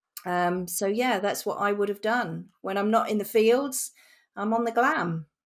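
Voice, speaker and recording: A woman at a medium pitch with a slight Norfolk accent, on a very clean recording with a silent background. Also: ordinary pitch variation, fairly slow pace. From England, Norfolk. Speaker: communications executive. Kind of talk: podcast conversation.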